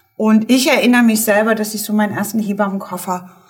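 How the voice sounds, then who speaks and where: A woman speaks at a fairly high pitch and a fairly quick pace. Her intonation is fairly even, and room echo is audible. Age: 50s. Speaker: midwife. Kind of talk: casual chat.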